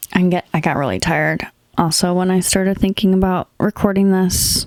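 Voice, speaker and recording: Mumbling at a moderate pace, a woman speaks at a medium pitch with fairly even intonation and a dry, close sound with no echo. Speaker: podcast host. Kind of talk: casual monologue.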